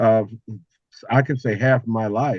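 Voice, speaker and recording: With an American accent, a man talks at a fairly slow pace in a medium pitch and fairly even intonation, the sound dry and close with no echo against a quiet background. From Houston, Texas. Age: 60s. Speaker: consultant and cultural elder. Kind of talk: podcast interview. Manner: halting.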